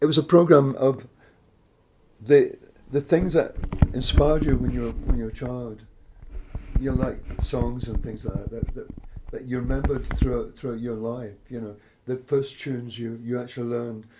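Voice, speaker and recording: A man with a west of Scotland accent, fairly even intonation and long, frequent pauses, amid noticeable background noise. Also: medium pitch for a man, moderate pace, big swings in loudness. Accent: west of Scotland Scottish. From Scotland, Greenock near Glasgow. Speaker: jazz musician. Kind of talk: interview. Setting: at home.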